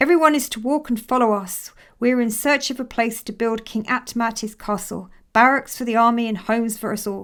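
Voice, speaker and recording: A woman's booming, put-on character voice, fairly high in pitch, at a fairly quick pace with fairly even intonation. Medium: read story. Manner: booming, authoritative.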